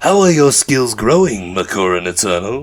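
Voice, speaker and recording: Putting on a character voice, a man hisses at a moderate pace, his medium pitch making very wide swings. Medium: read story. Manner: taunting, playful menace.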